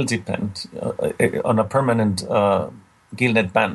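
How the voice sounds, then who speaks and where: This is a man speaking with a Spanish accent. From Mexico. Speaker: marine mammal scientist. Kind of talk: interview. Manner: halting.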